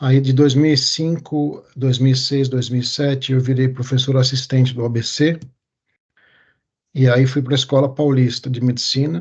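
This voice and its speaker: Somewhat breathy, a man talks at medium pitch and a moderate pace. His intonation stays monotone and flat. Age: 40s. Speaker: urologist and medical researcher. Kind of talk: interview. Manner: halting.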